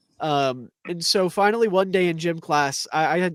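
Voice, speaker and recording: A loud, high-pitched man's voice with a dry, close sound and no echo. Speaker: podcast co-host. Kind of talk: casual chat. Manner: animated.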